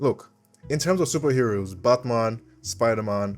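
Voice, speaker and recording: Music plays in the background while the speaker talks at a moderate pace with ordinary pitch variation. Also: man. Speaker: YouTuber, video essayist. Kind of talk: personal video essay monologue. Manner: conversational, animated.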